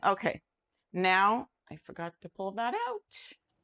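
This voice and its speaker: Recorded very clean against a silent background, a woman's voice comes through dry and close with no echo. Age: 60s. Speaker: cooking channel host. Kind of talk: cooking tutorial. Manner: casual, hesitant with fillers.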